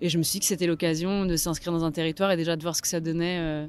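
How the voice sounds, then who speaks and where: This woman talks very fast in a fairly low pitch. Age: 30s. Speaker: photographer. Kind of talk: interview.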